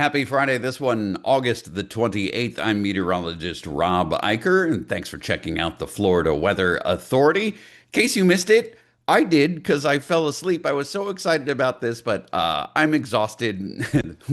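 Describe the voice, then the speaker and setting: Using vocal fry and very wide pitch swings, a man speaks at a moderate pace. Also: medium pitch for a man, quiet background. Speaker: meteorologist. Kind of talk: weather forecast. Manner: casual, hesitant with fillers.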